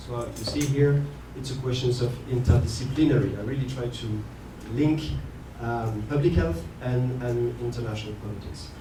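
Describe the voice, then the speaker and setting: Over noticeable background noise and audible room echo, a man with a French accent talks at a moderate pace in a medium pitch with ordinary pitch variation. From France. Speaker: university lecturer. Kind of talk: conference talk. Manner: hesitant, many fillers.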